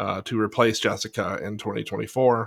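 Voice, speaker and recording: A man speaks at a fairly low pitch and a moderate pace, with vocal fry and monotone, flat intonation. The recording is very clean, with a silent background. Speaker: podcast host. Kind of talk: casual chat.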